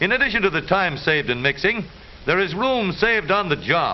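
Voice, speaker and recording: Over noticeable background noise, a man with a high pitch and lively intonation speaks at a fairly quick pace. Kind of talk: newsreel narration. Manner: upbeat, wry.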